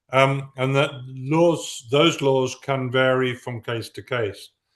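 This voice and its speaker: This is a man with an English accent. His pitch sits in the medium range. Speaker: professor. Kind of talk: academic Q&A response. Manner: halting.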